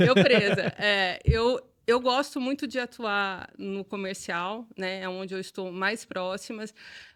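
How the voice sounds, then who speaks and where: Over a very clean recording with a silent background, a woman with a normal speaking voice, medium in pitch, talks at a fairly slow pace with ordinary pitch variation. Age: 40s. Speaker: business owner. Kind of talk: podcast interview.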